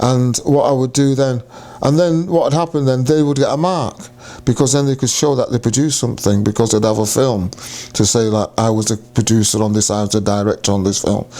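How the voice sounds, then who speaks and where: A man talks at a fairly quick pace, his loudness very even. Noticeable background noise runs underneath. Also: medium pitch for a man, ordinary pitch variation. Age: 70s. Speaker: cancer survivor sharing life story. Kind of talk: interview testimony. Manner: repetitive, self-correcting.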